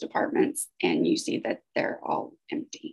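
Over a quiet background, a woman speaks at a moderate pace. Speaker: grant project staff; presenter. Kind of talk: conference presentation. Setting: video call. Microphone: webcam.

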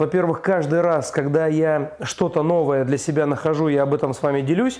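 Faint music sits in the background as a man speaks at a moderate pace. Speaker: DIY home-building vlogger. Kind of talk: casual vlog chat. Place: empty room. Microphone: lapel.

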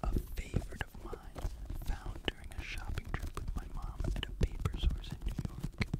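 Someone whispers in a calm tone at a moderate pace. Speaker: ASMR creator. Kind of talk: ASMR video. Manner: whispered; soft, calm, relaxing. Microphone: studio mic.

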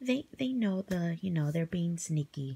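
At a moderate pace, a woman speaks in a dark, mellow tone that is somewhat breathy. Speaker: haul vlogger. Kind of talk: casual haul video. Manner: hesitant with many fillers. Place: home room. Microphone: phone near.

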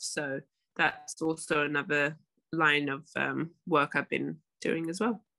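In a quiet background, a woman with a London accent speaks in a very deep, low pitch. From London, England. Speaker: professional basketball player. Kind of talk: podcast interview. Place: home room. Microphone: video call.

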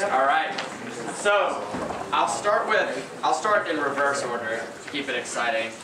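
Audible room echo and noticeable background noise surround a man talking at a fairly slow pace. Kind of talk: ceremony announcement. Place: hall. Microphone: podium.

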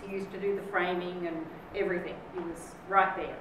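Moderate pace from a woman, audible room echo, noticeable background noise. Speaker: guest. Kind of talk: speech. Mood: lively, humorous. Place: hall. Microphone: camera far.

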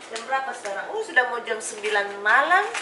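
A woman talks fast with a bright, sharp tone and a fairly high pitch. Her pitch swings are big, with faint background noise behind her.

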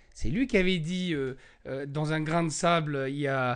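A man's fairly high voice at a fairly slow pace, with ordinary pitch variation, against a quiet background. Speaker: Falun Gong practitioner and spokesperson; spokesperson. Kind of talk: interview. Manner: halting, many hesitations. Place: home room. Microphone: handheld.

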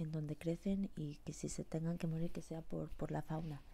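Soft-spoken and somewhat breathy, a woman whispers. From Spanish, living in the United States. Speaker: ASMR creator. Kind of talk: ASMR eating sounds and whispered chat. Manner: whispering, soft. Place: home room. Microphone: earbuds.

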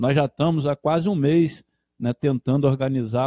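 A fairly high-pitched man with a dark, mellow tone speaks at a moderate pace and ordinary pitch variation, the sound dry with no echo and the background quiet. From Brazil (Portuguese-born, arrived at age 5). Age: 50s. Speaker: motorcycle club director. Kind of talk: casual live radio interview. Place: home room.

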